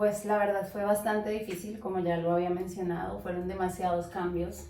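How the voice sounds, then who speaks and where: A woman's flat, monotone voice over noticeable background noise. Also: medium pitch for a woman, moderate pace. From Colombia, Tolima (Armero Guayabal). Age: 20s. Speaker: nurse. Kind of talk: interview.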